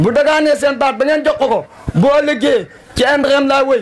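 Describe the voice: A man talks at an extremely high pitch. His pace is fairly quick and his intonation lively.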